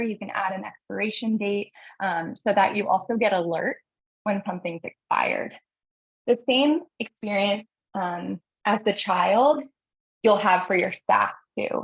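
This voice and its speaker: Somewhat breathy and fairly high-pitched, a woman speaks with ordinary pitch variation in a dry, close sound with no echo. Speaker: software company representative. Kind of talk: webinar product demo. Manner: fast.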